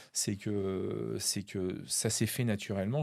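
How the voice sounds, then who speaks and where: The recording of this man is very clean, the background completely silent. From western France, La Rochelle. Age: 50s. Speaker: magician. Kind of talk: interview. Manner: halting, many fillers.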